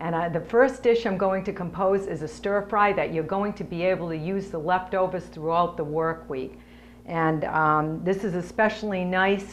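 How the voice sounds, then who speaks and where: A woman speaks with fairly even intonation. Light background noise sits behind her. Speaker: cooking show host. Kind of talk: tutorial. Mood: cheerful, friendly. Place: kitchen.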